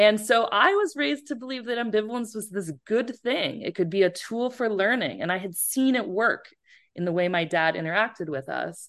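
A woman with an American accent and an unremarkable speaking voice, fairly high in pitch, at a moderate pace with lively intonation over a quiet background. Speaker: professor. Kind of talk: interview.

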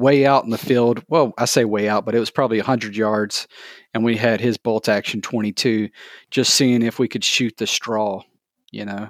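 A man with a Southern US accent speaks at medium pitch and a moderate pace, his intonation monotone and flat. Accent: Southern US (Georgia). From US South, Georgia (south of Atlanta). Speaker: small business owner, maker of sewn shooting gear. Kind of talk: casual interview.

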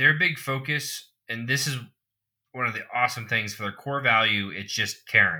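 At a moderate pace, a man talks in a plain, everyday voice with ordinary pitch variation. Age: 20s. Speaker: podcast co-host. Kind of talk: casual chat.

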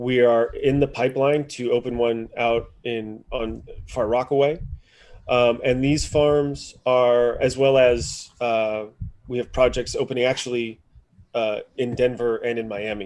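A man's medium-pitched voice with an American accent, fairly slow pace and fairly even intonation. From Maryland, US. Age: 30s. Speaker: urban farming systems engineer. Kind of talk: casual interview.

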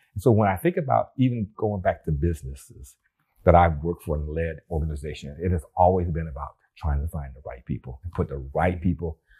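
A man's somewhat breathy, dark, mellow voice with an American accent, very deep and low in pitch, at a fairly quick pace with ordinary pitch variation. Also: very clean recording, silent background. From US Pacific Northwest (Bremerton, Washington). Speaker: retired rocket scientist and retirement coach. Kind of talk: interview podcast. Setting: studio.

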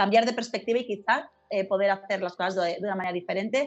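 With a quiet background, a woman speaks in an unremarkable speaking voice. Her pitch is fairly high and her intonation fairly even. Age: 40s. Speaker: sales trainer, speaker and author. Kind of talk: interview.

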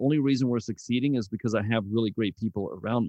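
A man talks at a very fast pace, his pitch medium. The pitch varies in an ordinary way. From South Africa, moved to small-town Texas at 13. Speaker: business consultant and CEO. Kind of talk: interview. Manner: casual, many filler words.

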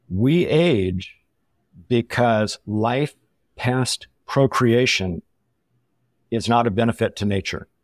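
In an American accent, a man talks very slowly at a medium pitch, with a dry, close sound and no echo. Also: ordinary pitch variation, very clean recording, silent background. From Southern California. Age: 70s. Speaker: water sports athlete and retired food industry veteran. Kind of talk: casual interview chat. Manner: conversational, slightly halting with repeats.

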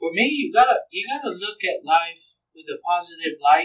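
Speaking at a moderate pace in a Samoan accent, a man uses a high pitch with very wide pitch swings. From American Samoa. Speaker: minister. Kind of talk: casual chat. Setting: church.

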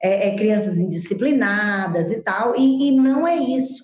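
A woman's fairly high voice with ordinary pitch variation at a very slow pace, amid audible room echo. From Brazil, Teresina, Piauí. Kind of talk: interview.

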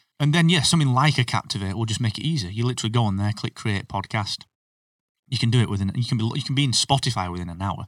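Very clean with a silent background, the recording captures a man with a British accent speaking at a medium pitch and a very fast pace, dry and close with no echo. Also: ordinary pitch variation. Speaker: podcasting expert and business owner. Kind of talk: casual interview chat. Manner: self-deprecating, humorous.

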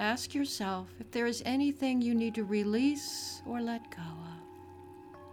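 With music in the background, a woman speaks at a fairly slow pace with hardly any pauses. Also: big swings in loudness. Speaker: podcast host and meditation guide. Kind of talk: guided meditation. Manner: slow, calm, soothing, gently paced with long pauses; soft-spoken, warm and reassuring.

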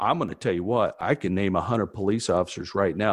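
A man in a plain, everyday voice, fairly low in pitch, with fairly even intonation, a fairly quick pace and a dry, close sound with no echo. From US, small town. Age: 50s. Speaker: former police officer. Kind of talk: casual chat.

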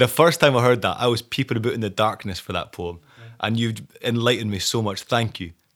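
Speaking with a Scottish accent, a man goes at a very fast pace, his medium pitch showing ordinary pitch variation. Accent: Scottish, Scots-inflected. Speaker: podcast host. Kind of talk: casual interview. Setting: studio.

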